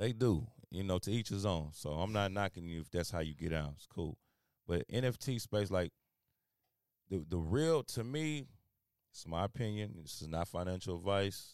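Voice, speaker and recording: In a very clean recording with a silent background and a dry, close sound with no echo, a man with an American accent speaks at a moderate pace in a fairly low pitch, with lively intonation and long, frequent pauses. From Houston, Texas. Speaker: podcast co-host. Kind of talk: casual chat. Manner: animated.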